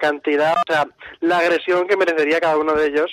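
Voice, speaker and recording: A man speaks over noticeable background noise. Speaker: radio show collaborator presenting a segment. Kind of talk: casual chat on radio call-in segment.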